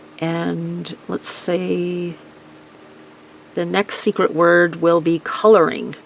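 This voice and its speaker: A woman is speaking. Noticeable background noise runs through the clip. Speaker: cardmaking tutorial creator. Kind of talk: tutorial. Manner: rambling, hesitant.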